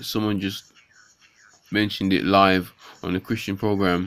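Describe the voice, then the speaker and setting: A man speaks in a fairly low voice, neither hurried nor slow. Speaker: vlogger. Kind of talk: casual vlog chat. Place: home room. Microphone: phone near.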